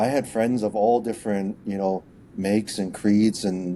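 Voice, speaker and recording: A man with a Canadian accent, fairly low pitch, moderate pace and a dark, mellow tone. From Canada, Vancouver. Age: 40s. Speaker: company founder and CEO. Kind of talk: interview. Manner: hesitant, many repetitions.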